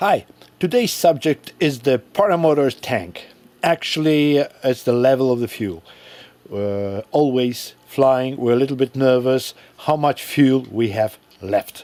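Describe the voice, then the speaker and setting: The words come fairly slowly from a speaker with a non-native accent. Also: man, medium pitch for a man, ordinary pitch variation. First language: not English. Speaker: paramotor hobbyist. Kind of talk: tutorial. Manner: halting.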